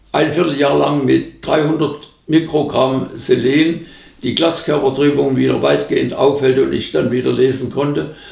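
Against a quiet background with audible room echo, a man talks at a fairly slow pace. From Upper Franconia, Germany. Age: 80s+. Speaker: agricultural scientist. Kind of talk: interview answer. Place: home room.

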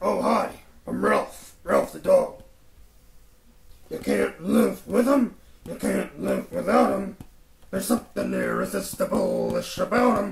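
This is a man doing a cartoonish character voice. He talks at a fairly slow pace with long, frequent pauses. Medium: puppet show. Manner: relaxed, rambling, folksy.

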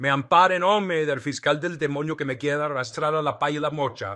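Against a quiet background, a man with a fairly high pitch speaks at a moderate pace in a solemn, deadpan tone that is also bright and sharp. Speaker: political satirist impersonating a politician. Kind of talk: satirical mock prayer of thanksgiving, parody speech. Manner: mock-solemn, deadpan piety dripping with sarcasm.

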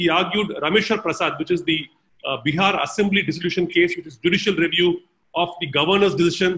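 Using fairly even intonation, a man talks at a high pitch. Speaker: event host introducing a speaker. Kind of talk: formal introduction. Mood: respectful, honored. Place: home room. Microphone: video call.

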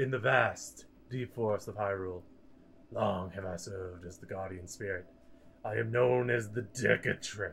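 In a put-on character voice, a man sounds raspy at a fairly low pitch. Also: moderate pace. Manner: solemn, old-fashioned speech.

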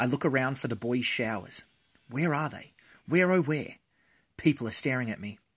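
The background is quiet behind this reading aloud in a natural voice.

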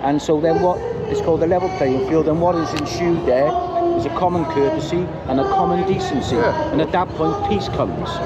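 Against loud background noise, a man talks at a fairly quick pace in a dry sound with no echo. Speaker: bystander at protest. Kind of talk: street argument. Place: street. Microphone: phone near.

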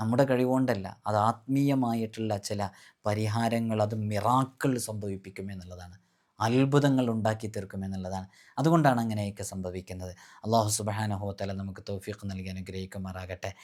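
An ordinary speaking voice from a man, fairly low in pitch with ordinary pitch variation, in a very clean recording with a silent background. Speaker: Islamic spiritual teacher. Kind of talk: religious instruction talk. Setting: recorded video.

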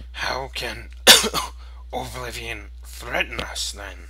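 Someone uses a put-on character voice at a very slow pace. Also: man.

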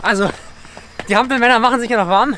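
A man talks in a raised, projected voice at a very fast pace with ordinary pitch variation, the sound dry with no echo and light background noise. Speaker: fitness vlogger. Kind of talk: casual vlog chat. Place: stadium. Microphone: phone near.

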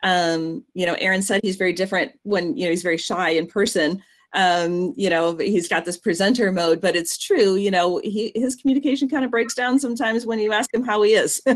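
A woman talks at a fairly quick pace with lively intonation. There are hardly any pauses, and the background is quiet. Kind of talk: explanatory talk. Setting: video call. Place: home room. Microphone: video call.

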